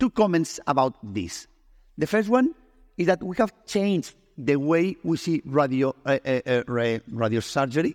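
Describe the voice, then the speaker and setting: With a Spanish accent, a man speaks in a fairly high voice with very wide pitch swings and a dry, close sound with no echo. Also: moderate pace, very clean recording, silent background. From Spain. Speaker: oncologist. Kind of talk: medical education presentation. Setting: stage with audience.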